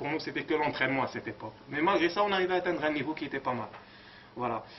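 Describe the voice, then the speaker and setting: A man's voice shows ordinary pitch variation, with noticeable background noise behind it. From Morocco. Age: 30s. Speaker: bodybuilder. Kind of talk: interview. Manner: halting.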